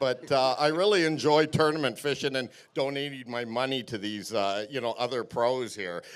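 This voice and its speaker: A man with a Canadian accent speaks at a medium pitch in a plain, everyday voice. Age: 60s. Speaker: tournament angler. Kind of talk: weigh-in interview. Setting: stage with audience.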